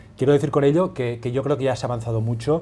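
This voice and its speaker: A man speaks in a dark, mellow tone that is somewhat breathy. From Catalonia, Spain. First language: Catalan (speaking Spanish). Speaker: newspaper correspondent. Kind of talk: panel discussion.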